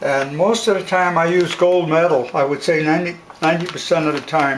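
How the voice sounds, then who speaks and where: A man with a fairly high pitch and fairly even intonation talks at a moderate pace, with noticeable background noise behind him. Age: 80s+. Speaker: home baker. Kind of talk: cooking demonstration.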